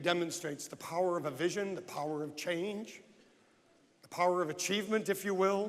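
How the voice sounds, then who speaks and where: Audible room echo surrounds a man's high-pitched voice. His intonation is fairly even. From United States. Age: 60s. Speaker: real estate agent and conference speaker. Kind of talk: motivational speech. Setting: stage with audience.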